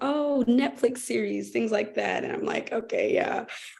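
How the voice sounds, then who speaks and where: Speaking with an American accent, a woman talks at a fairly slow pace. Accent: American accent when speaking German. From United States. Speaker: teacher abroad, panelist. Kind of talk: panel discussion.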